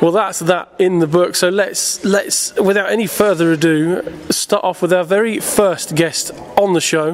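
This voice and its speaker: A man talks fairly slowly at a high pitch, with noticeable background noise behind him. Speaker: podcast host. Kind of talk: casual podcast chat.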